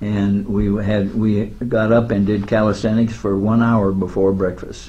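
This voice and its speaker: A man speaks at a fairly slow pace in a monotone, flat intonation, his dark, mellow voice fairly low in pitch and somewhat breathy, with audible room echo. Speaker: war veteran. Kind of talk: interview. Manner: halting.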